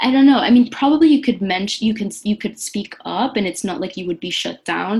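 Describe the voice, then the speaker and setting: Somewhat breathy woman's voice at medium pitch, moderate pace and lively intonation. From Venezuela. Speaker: magazine editor. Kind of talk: casual chat.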